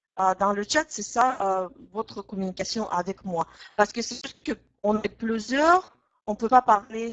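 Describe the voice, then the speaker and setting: With a Russian accent, a woman speaks at a fairly slow pace and fairly high pitch, showing ordinary pitch variation and big swings in loudness. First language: Russian (speaking French). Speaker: language teacher. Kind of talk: online webinar lesson. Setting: online webinar. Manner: hesitant, frequent filler 'euh'.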